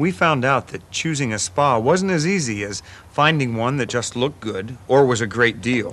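A man's moderate-paced speech carries lively intonation. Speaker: actor playing a homeowner. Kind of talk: scripted testimonial narration to camera. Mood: friendly, light humorous. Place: garden.

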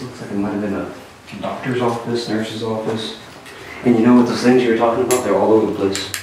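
The delivery is very fast and monotone, with flat intonation. Strong room echo surrounds it, along with light background noise. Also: man. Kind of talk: casual exploration commentary. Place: empty room.

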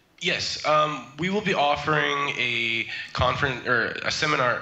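A man's voice at very even loudness, with audible echo in the room. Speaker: trademark consultant; remote guest. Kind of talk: interview. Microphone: video call.

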